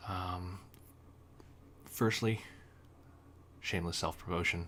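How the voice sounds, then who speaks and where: A man speaks quietly, his very deep, low pitch carrying a bright, sharp tone. His pitch varies in an ordinary way. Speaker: gaming guide reviewer. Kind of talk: unscripted tutorial. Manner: halting with many fillers.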